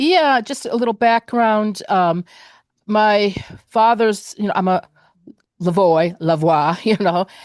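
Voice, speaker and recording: Speaking at a very slow pace, a woman uses a medium-pitched voice with ordinary pitch variation. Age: 70s. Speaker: audience member asking a question. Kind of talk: casual Q&A comment. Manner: halting, many fillers.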